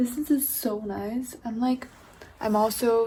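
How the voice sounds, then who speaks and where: Soft-spoken, a woman talks at a fairly slow pace. Her fairly high pitch holds a fairly even intonation. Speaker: food vlogger. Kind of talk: casual vlog talk. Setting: at home. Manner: casual, filler-heavy.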